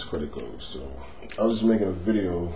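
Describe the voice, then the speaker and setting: Over noticeable background noise and audible room echo, a man speaks at a moderate pace with a very deep, low pitch. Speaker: finance vlogger. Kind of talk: tutorial. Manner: softer than natural tone; hesitant, many fillers.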